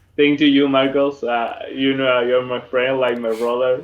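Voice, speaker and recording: A man speaks with a Spanish accent. His intonation is monotone and flat. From Spain, Madrid. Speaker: dance event organizer. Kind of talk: casual chat. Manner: halting.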